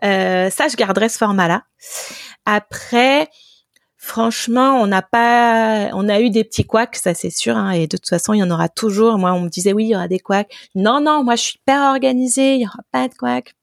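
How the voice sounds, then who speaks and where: Very clean recording with a silent background of a woman in an ordinary speaking voice, fairly high in pitch, lively in intonation, at a moderate pace, dry and close with no echo. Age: 30s. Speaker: app co-founder. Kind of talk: interview.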